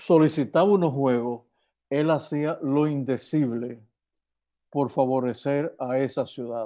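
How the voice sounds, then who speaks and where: Over a quiet background, a man with a fairly high pitch and a dark, mellow tone speaks at a very slow pace, his pitch varying in an ordinary way. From Dominican Republic. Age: 70s. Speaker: physician and sports official; interview guest. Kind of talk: interview. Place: home room. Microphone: earbuds.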